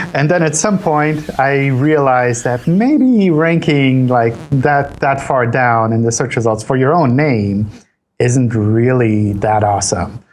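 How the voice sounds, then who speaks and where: With audible room echo, a man in an American accent speaks at a fairly slow pace with medium pitch, ordinary pitch variation and very even loudness. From Switzerland, partly US South as a child. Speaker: search engine company analyst. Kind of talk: interview. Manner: repeats words, casual.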